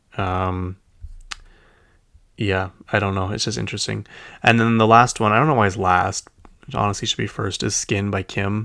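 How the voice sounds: A man with a Utah accent, fairly low pitch for a man, vocal fry and a bright, sharp tone, plus long, frequent pauses, on a very clean recording with a silent background. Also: fairly even intonation, moderate pace. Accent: Utah American.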